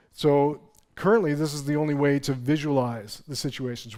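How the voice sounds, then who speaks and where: A man mumbles at a moderate pace. His pitch variation is ordinary. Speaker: software developer presenting at a conference. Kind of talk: conference talk. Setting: stage with audience. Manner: mumbling; hesitant, many fillers.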